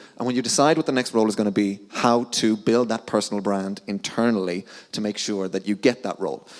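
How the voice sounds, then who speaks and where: Speaking at a fairly quick pace, a man with a strong Irish accent uses an animated tone. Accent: thick Irish. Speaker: sales account manager. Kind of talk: conference talk. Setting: stage with audience. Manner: fast.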